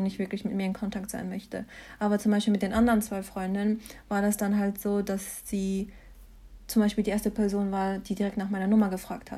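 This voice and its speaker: A woman's very fast, somewhat breathy speech, medium in pitch and dark and mellow in tone, in monotone, flat intonation, on a very clean recording with a silent background. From Germany, Mannheim. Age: 20s. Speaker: master's student. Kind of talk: casual interview.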